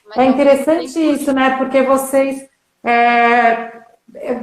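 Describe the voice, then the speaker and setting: With music in the background, a woman speaks at a high pitch in a monotone, flat intonation. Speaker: artist. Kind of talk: live online interview, host.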